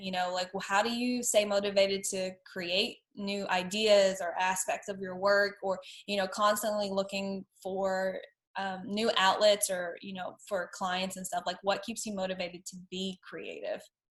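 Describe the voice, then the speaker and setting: Somewhat breathy and medium-pitched, a woman talks at a fairly slow pace. Her loudness swings widely. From Tennessee. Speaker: podcast host, designer and brand strategist. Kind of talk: casual interview chat.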